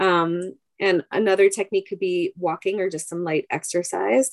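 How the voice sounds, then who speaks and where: Recorded dry and close with no echo, a woman with a normal speaking voice, fairly low in pitch, speaks at a moderate pace in an American accent. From US Northeast, Long Island, New York. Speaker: rabbi's wife and psychologist. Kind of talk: interview.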